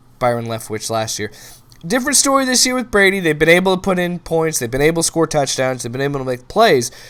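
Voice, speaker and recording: A man talks in an animated tone. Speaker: sports show host. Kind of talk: sports commentary monologue. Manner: fast; animated, stumbling repetitions.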